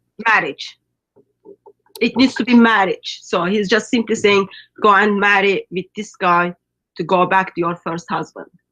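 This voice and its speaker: At a moderate pace with long, frequent pauses, a woman speaks in a bright, sharp voice of medium pitch with a Turkish accent and ordinary pitch variation. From Turkey. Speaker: ministry guest. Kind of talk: video call discussion.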